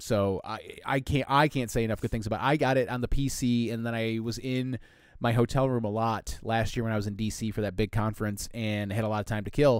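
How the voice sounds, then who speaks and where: Speaking at a fairly quick pace, a man has an unremarkable speaking voice at a medium pitch with fairly even intonation. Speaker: podcast co-host. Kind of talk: casual chat.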